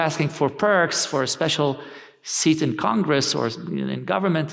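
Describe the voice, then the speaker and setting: A man's fairly high-pitched voice with an Arabic accent. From Lebanon and Iraq. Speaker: policy research fellow. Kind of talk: panel discussion. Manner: halting.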